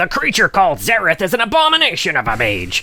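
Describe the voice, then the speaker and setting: A put-on character voice at a middle pitch races along at a very fast pace over light background noise. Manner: solemn, dramatic.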